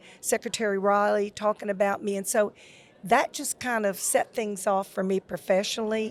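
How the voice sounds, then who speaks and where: At a moderate pace, a woman with a Louisiana accent speaks in a medium pitch with fairly even intonation. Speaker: retired school technology officer. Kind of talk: podcast interview.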